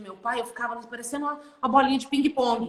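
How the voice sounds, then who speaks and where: Someone talks at a very fast pace with fairly even intonation, over noticeable background noise. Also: woman. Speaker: therapist. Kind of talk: casual chat. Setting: livestream.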